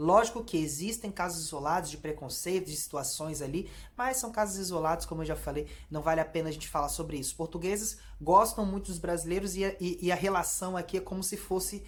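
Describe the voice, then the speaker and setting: Fairly low in pitch, a woman talks at a fairly quick pace with ordinary pitch variation amid audible room echo. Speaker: YouTuber, Brazilian immigrant vlogger. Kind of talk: casual vlog monologue. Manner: hesitant, many repeated fillers.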